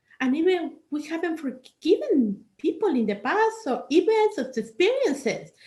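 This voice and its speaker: Her speech carries a non-native accent. This woman talks fairly slowly. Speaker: life coach. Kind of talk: workshop talk.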